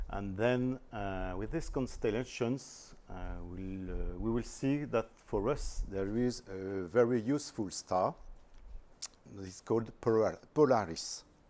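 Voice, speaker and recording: A man with a French accent speaks at a fairly slow pace and medium pitch. His tone is dark and mellow, with ordinary pitch variation. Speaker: astrophotographer, visiting speaker. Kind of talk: presentation. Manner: hesitant, careful non-native English.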